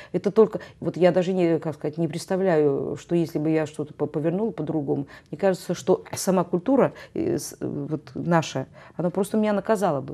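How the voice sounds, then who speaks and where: A woman speaks at a moderate pace in a fairly low voice with a dark, mellow tone. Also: ordinary pitch variation. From Russian North. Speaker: choir director and music professor; music professor. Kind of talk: interview. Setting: TV studio. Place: studio.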